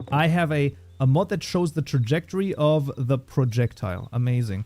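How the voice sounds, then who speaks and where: A man with a slight German accent, fairly high in pitch with a dark, mellow tone, somewhat breathy, with lively intonation and very even loudness, at a moderate pace, on a very clean recording with a silent background. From Germany. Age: 30s. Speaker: programming livestreamer. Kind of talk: casual livestream chat. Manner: animated.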